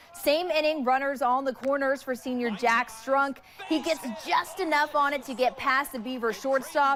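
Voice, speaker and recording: A woman at a moderate pace and high pitch, ordinary pitch variation, over noticeable background noise. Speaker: sports anchor and reporter. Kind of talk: TV sports news read.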